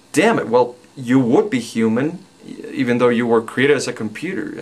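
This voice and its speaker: A man with a Spanish accent talks at a moderate pace and medium pitch over noticeable background noise. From Mexico. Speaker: video blogger. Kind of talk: personal vlog monologue. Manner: halting, many fillers.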